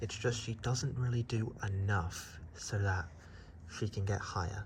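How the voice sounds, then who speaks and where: Speaking with a fairly low pitch and ordinary pitch variation, a man is heard with audible echo from the room. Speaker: YouTuber. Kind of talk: monster ranking vlog. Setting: outdoors at night. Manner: whispering; casual, halting.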